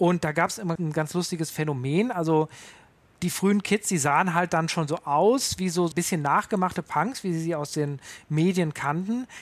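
Moving at a moderate pace, a man speaks with a high pitch and ordinary pitch variation. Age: 30s. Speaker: punk music expert. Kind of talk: interview.

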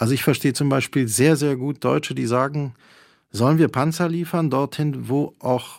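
Here a man is talking. He keeps a moderate pace and ordinary pitch variation. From Poland. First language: Polish (speaking German). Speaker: cultural manager and journalist. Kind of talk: radio interview. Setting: remote line from a university radio studio.

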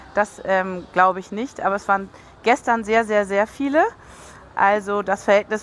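Moderate pace and ordinary pitch variation. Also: woman. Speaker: on-site reporter. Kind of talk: live reporting.

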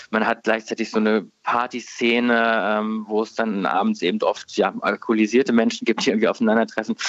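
Against noticeable background noise, a man speaks at a fairly quick pace and medium pitch with monotone, flat intonation and hardly any pauses. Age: 30s. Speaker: newspaper politics editor. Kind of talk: radio interview. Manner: hesitant, many filler words.

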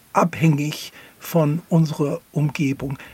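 A man with an English accent, at a very slow pace. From US, near Philadelphia. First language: English (speaking German). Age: 70s. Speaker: philosopher. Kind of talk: interview. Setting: studio.

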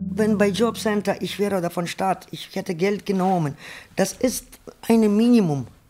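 Pitched in the middle range, a woman's voice has a dark, mellow tone. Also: ordinary pitch variation, moderate pace. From Ukraine. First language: Ukrainian or Russian (speaking German). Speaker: sex worker. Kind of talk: personal testimony in radio feature.

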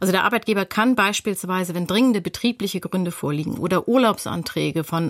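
A woman with an ordinary speaking voice of medium pitch talks at a fairly quick pace with ordinary pitch variation. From North Rhine-Westphalia. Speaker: lawyer. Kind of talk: expert explanation on radio.

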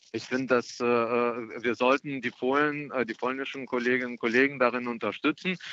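With a Russian accent, a man speaks in a medium pitch using fairly even intonation. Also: moderate pace. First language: Russian (speaking German). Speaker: member of European Parliament, Green politician. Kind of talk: radio interview. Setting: phone call from an airport. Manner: hesitant, many filler sounds.

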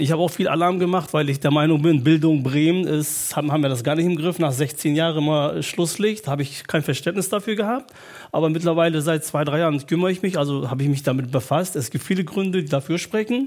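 At a fairly quick pace and with hardly any pauses, a man speaks in a fairly high pitch with ordinary pitch variation. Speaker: parent representative at a school. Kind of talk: panel discussion. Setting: stage with audience. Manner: halting.

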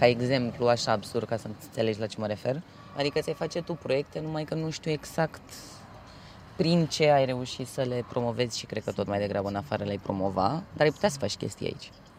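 A man with a Romanian accent, medium pitch, lively intonation and a very fast pace. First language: Romanian (speaking German). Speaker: interviewee. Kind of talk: casual conversation.

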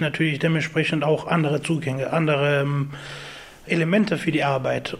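At a moderate pace and with fairly even intonation, someone talks over noticeable background noise. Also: man. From Afghanistan. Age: 20s. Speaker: IT technician. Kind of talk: interview.

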